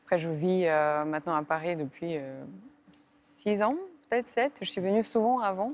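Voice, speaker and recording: The voice moves through very wide pitch swings. Its pace is fairly slow. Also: woman, medium pitch for a woman. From Bulgaria, Sofia. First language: Bulgarian (speaking French). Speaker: classical violinist. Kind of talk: interview. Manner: hesitant, many fillers.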